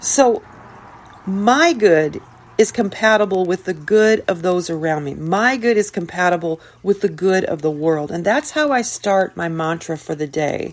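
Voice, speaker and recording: A woman speaks at a fairly slow pace in a medium-pitched voice. It is a normal speaking voice, with lively intonation. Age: 60s. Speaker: podcast host, self-help speaker. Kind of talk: motivational podcast monologue.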